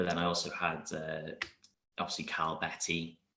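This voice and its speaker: Speaking in a south Wales accent, a man talks at a moderate pace in a very deep, low pitch with monotone, flat intonation. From Wales (Newport area). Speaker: martial arts competitor. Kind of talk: interview.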